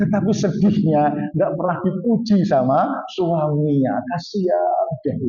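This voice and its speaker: Delivered at a very slow pace, the speech has ordinary pitch variation and audible room echo. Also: man, high pitch for a man, hardly any pauses. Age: 60s. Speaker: Islamic preacher. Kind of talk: sermon. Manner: animated.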